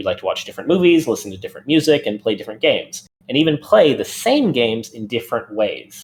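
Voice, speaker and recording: A man talks at a very fast pace, hardly pausing at all. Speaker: game developer, guest speaker. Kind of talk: lecture.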